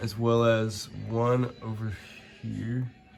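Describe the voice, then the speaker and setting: Music plays in the background. A man speaks with a fairly low pitch. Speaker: car enthusiast. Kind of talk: casual how-to narration.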